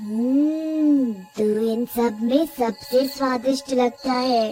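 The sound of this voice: A woman uses a put-on character voice, high-pitched with a dark, mellow tone and a slightly husky edge. She speaks at a slow pace while faint music plays in the background. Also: fairly even intonation.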